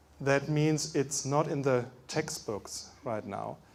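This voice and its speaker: A man with a German accent speaks at a very slow pace. His pitch is fairly high, with fairly even intonation. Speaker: medical doctor. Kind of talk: lecture.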